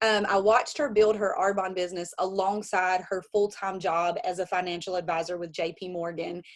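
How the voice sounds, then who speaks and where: A woman with an Alabama accent, medium pitch, fairly even intonation and a fairly quick pace. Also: hardly any pauses. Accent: Alabama Southern. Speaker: network marketing consultant and Air Force member. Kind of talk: virtual business launch presentation, personal story. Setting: video call. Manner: casual, with many fillers.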